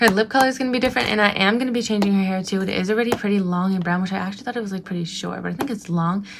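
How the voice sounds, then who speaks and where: Over noticeable background noise, a woman at a medium pitch talks very fast and animatedly, with hardly any pauses and ordinary pitch variation. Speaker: beauty and craft vlogger. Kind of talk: casual craft tutorial. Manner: restricted mouth movement, careful speech; chatty, animated.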